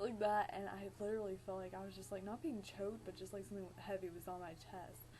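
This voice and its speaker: Over noticeable background noise, a woman speaks very fast at a medium pitch with fairly even intonation. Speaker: vlogger. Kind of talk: casual vlog storytelling. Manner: frequent filler 'like'.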